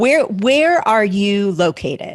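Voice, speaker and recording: This woman's speech comes at a fairly slow pace, captured in a very clean recording with a silent background. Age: 50s. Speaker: podcast host. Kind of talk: interview.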